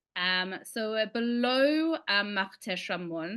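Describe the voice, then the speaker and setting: Very slowly, a woman talks in an Australian accent. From Sydney, Australia. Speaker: licensed tour guide. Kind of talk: online lecture with slides.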